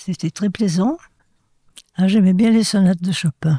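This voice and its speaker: A woman speaks in a fairly low, somewhat breathy voice with a dark, mellow tone. Her pitch varies in an ordinary way, and the sound is dry and close with no echo. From France, Ardèche / Drôme (Valence). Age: 80s+. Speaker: interviewee, centenarian. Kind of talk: interview. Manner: halting.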